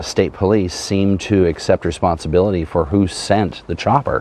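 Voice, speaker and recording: Over noticeable background noise, a man with an American accent talks in a very deep, low pitch with ordinary pitch variation. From Martha's Vineyard, Massachusetts. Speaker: interview show host. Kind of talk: interview.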